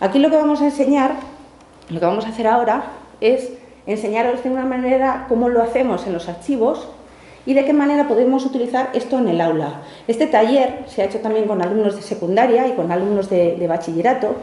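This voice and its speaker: A woman with lively intonation at a fairly quick pace, amid noticeable background noise and audible room echo. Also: fairly high pitch for a woman. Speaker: archivist leading a teacher workshop. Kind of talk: workshop talk. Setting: archive workshop room with audience. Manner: fast.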